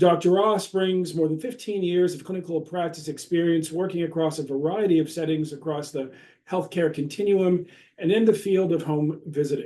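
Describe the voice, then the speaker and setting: A man's high voice with a dark, mellow tone, fairly even intonation and a moderate pace. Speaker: moderator, professor. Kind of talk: reading speaker introductions. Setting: virtual event.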